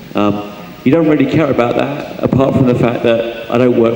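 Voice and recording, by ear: Dark, mellow tone from a man, with audible room echo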